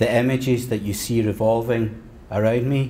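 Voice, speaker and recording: A man with a Scottish accent at a medium pitch and fairly slow pace, fairly even in intonation, with audible room echo. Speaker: history lecturer. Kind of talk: lecture.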